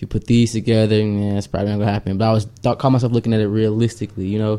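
A man speaks very fast in a fairly low pitch, his intonation monotone and flat and his tone dark and mellow. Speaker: podcast co-host. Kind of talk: casual chat. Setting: studio. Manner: fast talker.

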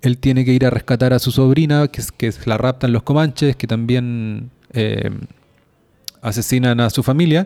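Ordinary pitch variation at a fairly slow pace, in an unremarkable speaking voice. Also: man. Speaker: podcast co-host. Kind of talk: casual chat.

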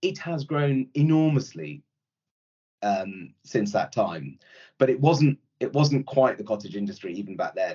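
Speaking with a Yorkshire accent, a man uses lively intonation. His pace is fairly slow. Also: medium pitch for a man. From Yorkshire, northern England (born in India). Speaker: private equity executive. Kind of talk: casual interview.

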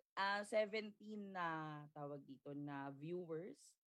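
A woman speaks with lively intonation. Her pitch is fairly low. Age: young. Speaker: podcast host. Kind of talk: livestream interview. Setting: livestream.

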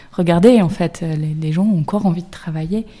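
A woman talks at a fairly quick pace in a somewhat breathy, dark, mellow tone. Her pitch is fairly low, with ordinary variation. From Brittany, France. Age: 30s. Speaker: career coach. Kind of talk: panel discussion.

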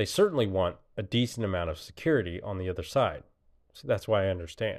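At a fairly quick pace, a man talks in an unremarkable speaking voice, fairly low in pitch. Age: 30s. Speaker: podcast host. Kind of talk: solo monologue podcast. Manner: casual, rambling with frequent fillers.

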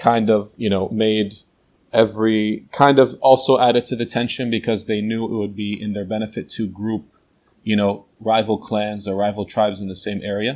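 Against a quiet background, a man with a New Jersey accent speaks at a moderate pace in a fairly low pitch with monotone, flat intonation. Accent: American, New Jersey. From New Jersey, USA. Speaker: teacher and translator. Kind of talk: interview. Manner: hesitant, many fillers.

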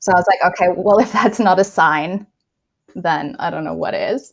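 Vocal fry runs through this woman's speech, and her pitch varies in an ordinary way. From South Africa. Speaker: graphic designer and illustrator. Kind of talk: casual interview. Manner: casual, lots of fillers.

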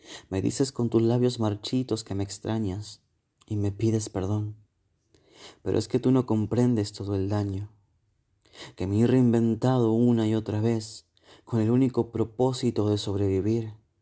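With a dark, mellow, dramatic tone, a man speaks fairly slowly in a flat monotone, leaving long, frequent pauses. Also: medium pitch for a man, quiet background. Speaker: poet. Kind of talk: spoken-word poetry reading, intimate and melancholic, addressed to a lost lover. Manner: soft, slow and wistful, dramatic pauses, emotional delivery.

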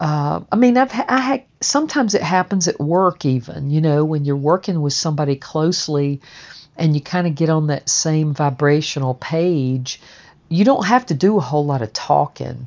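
A woman with a Southern US accent speaks at a moderate pace in a very deep, low pitch with lively intonation. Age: 60s. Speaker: stonemason and podcast narrator. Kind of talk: personal memoir narration. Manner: conversational with frequent fillers.

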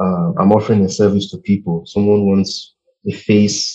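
Moderately paced speech comes from a man with a fairly low pitch. His tone is dark and mellow. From Nigeria. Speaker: brand designer. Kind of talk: interview conversation. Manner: halting, with many fillers.

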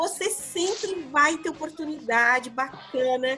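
A woman's raised, projected voice at a very slow pace, with lively intonation. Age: 50s. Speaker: psychologist and career mentor. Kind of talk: casual podcast chat.

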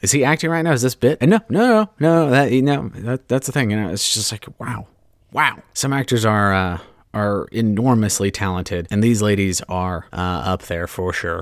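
On a very clean recording with a silent background, a man with a normal speaking voice talks at a fairly low pitch and a moderate pace with lively intonation. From Southern California and Hawaii. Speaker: podcast host. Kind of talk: solo podcast monologue. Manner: casual, many fillers.

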